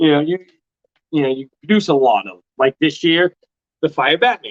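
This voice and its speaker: A loud voice at a moderate pace with very wide pitch swings. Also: man, fairly high pitch for a man. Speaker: ball python breeder hosting a livestream. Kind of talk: casual livestream chat. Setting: live stream.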